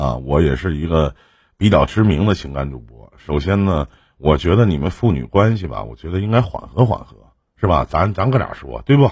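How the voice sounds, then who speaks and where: Vocal fry runs through this man's very deep, low voice, which makes very wide pitch swings. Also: moderate pace. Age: 40s. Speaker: emotional advice livestream host. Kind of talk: call-in advice show. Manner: casual, laughs often.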